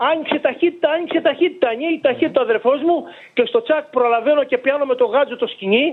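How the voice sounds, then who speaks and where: Speaking at a fairly quick pace with very even loudness, a man uses an extremely high pitch and ordinary pitch variation. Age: 70s. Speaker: fisherman. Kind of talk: interview testimony. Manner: halting.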